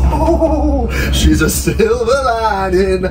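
A man is heard over loud background noise. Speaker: travel vlogger. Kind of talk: casual vlog chat. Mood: jokey, cheeky banter. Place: train. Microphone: phone near.

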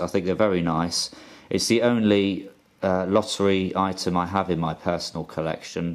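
A man with a British accent speaks at a moderate pace in a very deep, low voice, his intonation fairly even. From UK. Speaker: YouTuber. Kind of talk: casual video monologue. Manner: hesitant, with fillers. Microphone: phone near.

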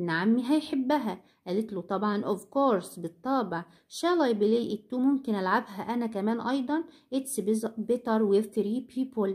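Somewhat breathy, the voice carries an Egyptian accent with ordinary pitch variation. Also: woman, fairly high pitch for a woman. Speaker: English teacher. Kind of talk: lecture. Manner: slow, repeating each word.

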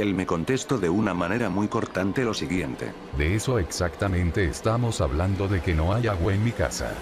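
A man's very deep, low voice, animated yet serious in tone, at a moderate pace with ordinary pitch variation, over noticeable background noise. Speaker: comedy creepypasta narrator. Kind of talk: parody horror story narration (creepypasta reading). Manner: absurdly comedic, animated, mock-serious storytelling.

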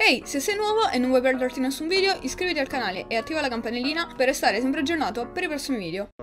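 Over clear background music, the voice swings very widely in pitch and races along at a very fast pace with hardly any pauses. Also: woman, high pitch for a woman. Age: young. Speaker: vlogger. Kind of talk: tutorial. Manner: casual, chatty.

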